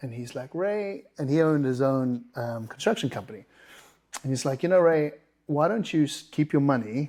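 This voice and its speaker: On a very clean recording with a silent background, a man with a South African accent speaks in a dark, mellow tone, using lively intonation at a moderate pace. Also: fairly high pitch for a man. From South Africa, Durban. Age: 50s. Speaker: business owner. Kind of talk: interview.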